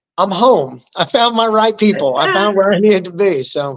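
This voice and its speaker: A high-pitched man with an American accent, animated in tone, his intonation lively. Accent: Southern US redneck accent, crept back in. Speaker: army veteran. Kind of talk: interview conversation.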